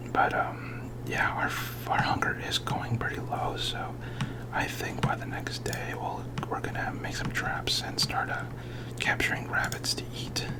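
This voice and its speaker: Whispering over noticeable background noise. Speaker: ASMR gaming creator. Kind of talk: ASMR gameplay commentary. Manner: whispered; hesitant, many filler words.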